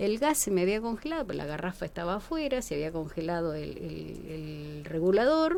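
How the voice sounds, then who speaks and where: The pitch swings very widely at a fairly quick pace, in a Rioplatense accent. Background noise is noticeable. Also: woman. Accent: Argentine Rioplatense Spanish. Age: 60s. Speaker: museologist. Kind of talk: interview.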